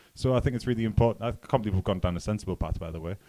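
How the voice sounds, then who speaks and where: With a Geordie accent, a man talks at a fairly low pitch with ordinary pitch variation in a very clean recording with a silent background. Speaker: news presenter and poker player. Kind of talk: news reading.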